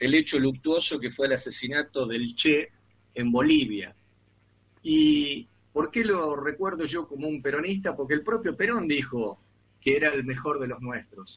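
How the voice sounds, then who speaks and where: This man has an ordinary speaking voice with a fairly high pitch. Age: 40s. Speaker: radio host. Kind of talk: radio interview.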